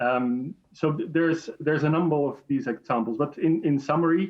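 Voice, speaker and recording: A man speaks with a Dutch accent at a moderate pace. His pitch is fairly high, with ordinary variation. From Netherlands. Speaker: chemical industry association director. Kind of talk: panel debate interview.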